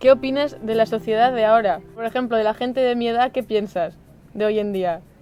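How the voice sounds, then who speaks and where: With music in the background, a woman speaks at a moderate pace in a fairly high pitch with ordinary pitch variation. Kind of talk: casual talk to camera.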